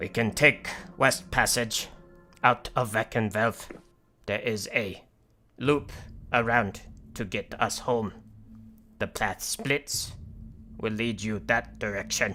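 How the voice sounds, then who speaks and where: A put-on character voice at low pitch, fairly slow in pace, with long, frequent pauses. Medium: actual play. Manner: terse, clipped.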